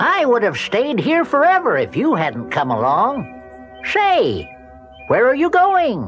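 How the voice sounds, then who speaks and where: Over clear music in the background, a man uses a put-on character voice, speaking at a fairly slow pace with very even loudness. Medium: read story. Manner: gentle, polite.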